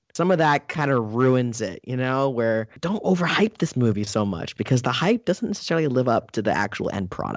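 This is a normal speaking voice whose pitch varies in an ordinary way. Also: man. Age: 30s. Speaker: film reviewer. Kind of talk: casual chat.

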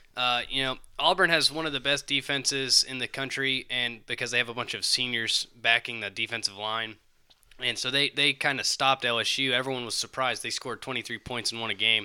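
A man with a Southern US accent talks at a fairly quick pace in a bright, sharp tone with fairly even intonation, recorded very cleanly against a silent background. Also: medium pitch for a man. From Alabama, US South. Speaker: paramedic. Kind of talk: casual chat.

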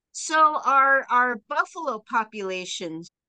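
Raised and projected, a woman's high-pitched voice with a bright, sharp tone moves at a very slow pace in a dry, close sound with no echo. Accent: American. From Texas. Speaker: buffalo rancher and nonprofit founder. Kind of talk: interview.

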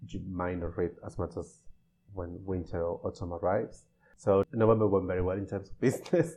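A man's very deep, low voice, somewhat breathy, at a fairly quick pace against a quiet background. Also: ordinary pitch variation. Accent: Spanish. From Spain, Navarra (Pamplona). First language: Spanish. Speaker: bookseller. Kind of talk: casual interview. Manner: halting.

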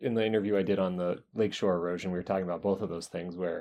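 This man's voice is very deep and low, delivered in a monotone with flat intonation. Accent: American. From US South, North Carolina. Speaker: podcast host, geologist. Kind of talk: interview. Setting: university office.

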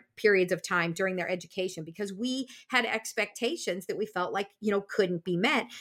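A woman with a Midwestern accent at a fairly quick pace, on a very clean recording with a silent background. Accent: General American (Midwest). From US Midwest (Iowa). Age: 50s. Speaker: speech language pathologist and podcast host. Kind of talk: casual chat. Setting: home recording studio.

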